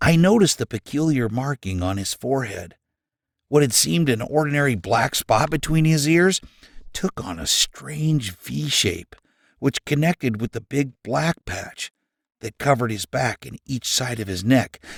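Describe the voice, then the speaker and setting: A man's put-on character voice at medium pitch and moderate pace, in a very clean recording with a silent background. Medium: read story. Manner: dramatic storyteller.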